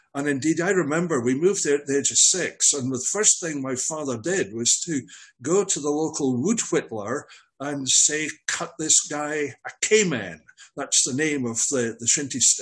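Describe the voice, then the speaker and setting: The speaker has a Scottish accent and ordinary pitch variation. The pace is moderate. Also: man, fairly high pitch for a man. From Scottish Highlands (Glencoe). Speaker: veteran hasher and marathon runner. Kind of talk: casual interview.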